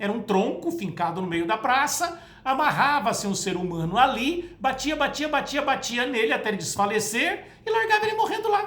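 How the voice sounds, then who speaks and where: A woman with a Brazilian accent speaks at a high pitch with very wide pitch swings, a moderate pace and hardly any pauses. Noticeable background noise and audible room echo fill the recording. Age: 60s. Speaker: spiritist lecturer. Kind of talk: spoken talk to camera. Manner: conversational.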